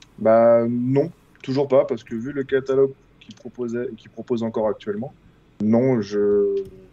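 Here a man speaks at medium pitch. His pitch varies in an ordinary way, and his pace is moderate. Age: 30s. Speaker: gaming site contributor. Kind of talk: casual chat.

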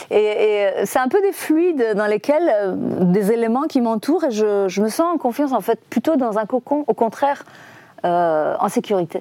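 A woman with a Persian accent, fairly high in pitch, with very wide pitch swings at a fairly slow pace. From Iran. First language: Persian (speaking French). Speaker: film director. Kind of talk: interview. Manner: halting.

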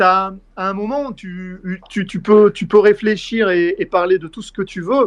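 The intonation is fairly even. The pace is fairly slow. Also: man, high pitch for a man, big swings in loudness. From France, Puy-de-Dôme near Clermont-Ferrand. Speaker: football journalist and Twitch streamer. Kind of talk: casual chat.

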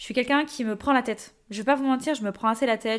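At a fairly quick pace, a woman speaks in an animated tone with ordinary pitch variation. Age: 20s. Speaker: podcast host and social media creator. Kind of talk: casual monologue.

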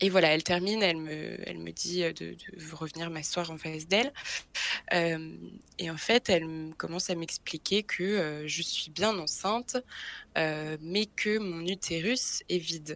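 A woman speaks with a fairly low pitch and ordinary pitch variation. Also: big swings in loudness. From Brittany, France. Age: 20s. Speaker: guest sharing a health story. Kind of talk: personal testimony in interview. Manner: hesitant, many fillers and repetitions.

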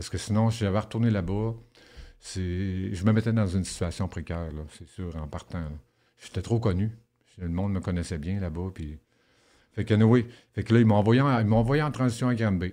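A man with a dark, mellow tone speaks at a moderate pace with ordinary pitch variation, big swings in loudness and long, frequent pauses, on a very clean recording with a silent background. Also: fairly low pitch for a man. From Quebec (Rouyn-Noranda, Saguenay-Lac-Saint-Jean). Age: 50s. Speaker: former inmate. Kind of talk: interview testimony.

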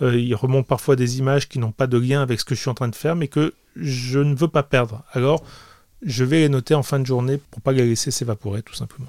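Captured dry and close on a very clean recording with a silent background and no echo, a man of medium pitch speaks at a fairly quick pace with fairly even intonation. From France, Grenoble area, Italian family. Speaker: comic book artist. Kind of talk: interview. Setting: his small studio. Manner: hesitant, many repetitions.

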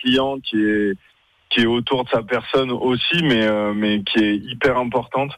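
A man at medium pitch has an ordinary speaking voice and fairly even intonation. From Lyon. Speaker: pastry chef and caterer. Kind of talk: radio interview. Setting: phone call.

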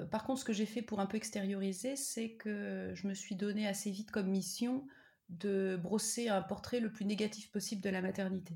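Speaking at a moderate pace with fairly even intonation, a woman of medium pitch has a dark, mellow tone that is somewhat breathy. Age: 30s. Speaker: PhD student and mother. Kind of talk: interview, personal testimony. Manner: hesitant, many fillers.

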